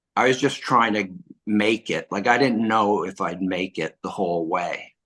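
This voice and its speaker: Speaking at a fairly low pitch and moderate pace, a man with a bright, sharp tone shows ordinary pitch variation against a quiet background. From Quebec, Montreal. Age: 60s. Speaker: filmmaker and author. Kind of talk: interview.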